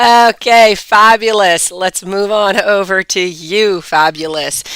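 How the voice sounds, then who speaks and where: Very slow in pace, a woman speaks with ordinary pitch variation in a dry, close sound with no echo. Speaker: tarot reader. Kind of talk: live-stream tarot reading. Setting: live stream.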